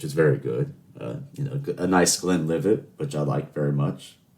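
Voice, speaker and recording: A man with an American accent has a very deep, low voice. His pitch swings very widely. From US South, Charleston. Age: 20s. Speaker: podcast host. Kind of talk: casual monologue. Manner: chatty, rambling with fillers.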